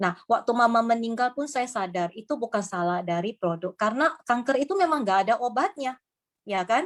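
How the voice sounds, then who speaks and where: Her pitch is fairly high, her intonation lively. The woman talks at a fairly quick pace. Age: 50s. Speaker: business presenter. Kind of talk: sales pitch. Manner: halting.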